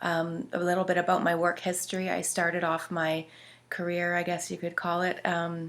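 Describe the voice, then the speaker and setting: On a very clean recording with a silent background, a woman with a Canadian accent speaks at a fairly low pitch and moderate pace in a monotone, flat delivery. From Canada, British Columbia (West Kootenays). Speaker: social services worker and counselor. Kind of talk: personal introduction. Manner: hesitant, many fillers.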